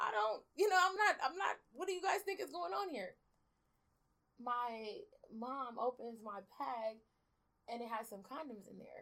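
A woman speaks fairly slowly in a high pitch, with long, frequent pauses. Her pitch swings very widely and her loudness rises and falls a lot. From South Central Los Angeles, born in Belize. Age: 30s. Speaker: formerly incarcerated advocate. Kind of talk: interview.

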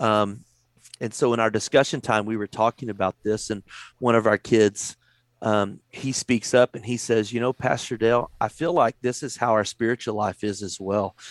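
With a Texan accent, a man speaks at a moderate pace and medium pitch with fairly even intonation, the sound dry and close with no echo in a very clean recording with a silent background. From Texas. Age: 40s. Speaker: youth pastor. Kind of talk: casual chat. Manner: halting.

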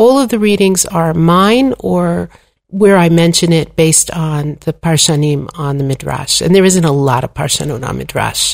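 A woman's fairly low voice, an ordinary speaking voice, with lively intonation at a fairly slow pace. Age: 60s. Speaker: Torah teacher and author. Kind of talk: interview conversation.

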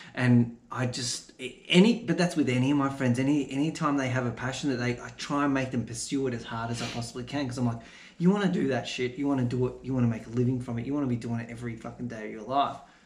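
Somewhat breathy, the speaker talks at a very fast pace with fairly even intonation. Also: man, medium pitch for a man. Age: young. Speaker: videographer and filmmaker. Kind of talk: casual chat. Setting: home garage studio.

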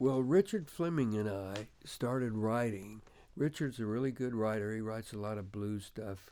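A man with an American accent speaks at a moderate pace in a medium pitch, his dark, mellow tone carrying ordinary pitch variation. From US South, Memphis, Tennessee. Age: 70s. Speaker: veteran rock guitarist. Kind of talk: interview, casual chat. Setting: recording studio.

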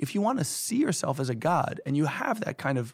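Somewhat breathy and fairly high-pitched, a man speaks with lively intonation on a very clean recording over a silent background. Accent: American. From New York City. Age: 30s. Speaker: author. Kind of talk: interview.

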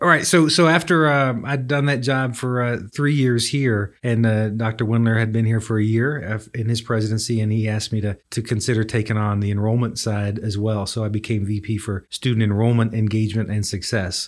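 A man speaks with a Texan accent at medium pitch and a moderate pace. His pitch varies in an ordinary way against a quiet background. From West Texas (Coleman, near Abilene). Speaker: university administrator. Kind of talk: casual chat.

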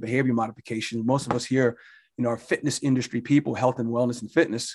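Against a silent background, a man is captured on a very clean recording. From New Jersey, Jersey Shore. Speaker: fitness club executive director. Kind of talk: interview.

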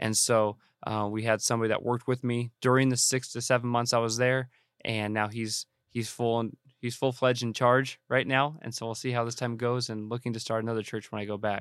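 In a Californian accent, a man talks at a fairly quick pace with a medium pitch and flat, monotone delivery. The recording is very clean, with a silent background. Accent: Californian American English. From Southern California (Banning, Riverside County). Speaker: missionary. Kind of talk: interview conversation.

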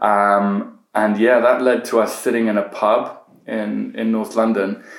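The delivery is very slow. Audible room echo surrounds the voice. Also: man. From Iran, raised partly in Britain. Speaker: political campaigner. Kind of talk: casual chat. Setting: in person interview. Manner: hesitant, many fillers.

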